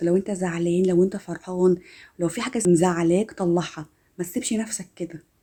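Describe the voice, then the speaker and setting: A woman with an Egyptian accent speaks at a moderate pace. Her voice has a warm tone and a medium pitch. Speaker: self-help content creator. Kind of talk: motivational self-help talk to camera. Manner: warm, encouraging.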